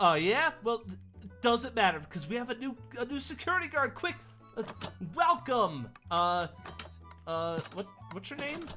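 A man's cartoonish character voice, extremely high-pitched with a bright, sharp tone, big pitch swings and a moderate pace, with faint music in the background

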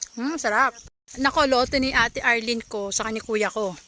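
A woman's raised, projected voice with ordinary pitch variation over noticeable background noise. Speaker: video blogger. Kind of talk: casual vlog narration. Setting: outdoors. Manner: animated.

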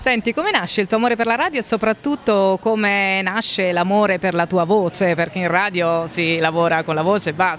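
Fairly quick speech with ordinary pitch variation over light background noise. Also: woman, hardly any pauses, dry sound with no echo. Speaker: interviewer. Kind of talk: interview. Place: hall. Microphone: phone near.

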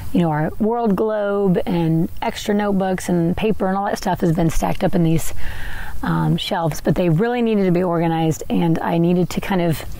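A woman with an unremarkable speaking voice talks at a fairly quick pace and fairly low pitch, with ordinary pitch variation, very even loudness, and dry sound with no echo. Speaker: podcaster. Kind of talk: casual vlog chat. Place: open country.

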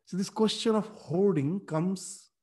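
Using ordinary pitch variation, a man speaks at a fairly slow pace. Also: quiet background. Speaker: religious teacher. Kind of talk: lecture. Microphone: webcam.

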